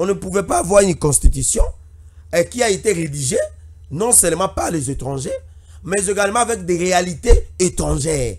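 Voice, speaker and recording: Against a quiet background, a man talks at a moderate pace with long, frequent pauses. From DR Congo, Equateur province (Budjala); Equateur province, DR Congo. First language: Lingala and local dialect (speaking French). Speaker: political commentator and party activist; political commentator. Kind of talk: political commentary. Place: studio. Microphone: studio mic.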